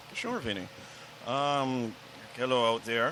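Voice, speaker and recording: A man with a Jamaican accent speaks at a very slow pace. His pitch is medium. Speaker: podcast guest. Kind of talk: interview.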